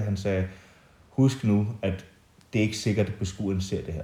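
With an English accent, a man speaks at a moderate pace in a very deep, low voice that is dark, mellow and somewhat breathy. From England, moved to Denmark at 11. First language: English (speaking Danish). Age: 30s. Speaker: artist. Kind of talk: casual interview. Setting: at the guest's home in the countryside.

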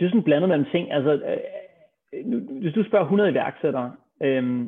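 The man's pitch varies in an ordinary way. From Denmark, Copenhagen. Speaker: serial entrepreneur. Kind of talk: interview.

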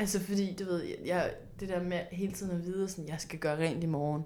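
A woman with a fairly low voice speaks at a moderate pace, her intonation fairly even. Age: 20s. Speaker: podcast host. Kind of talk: casual chat.

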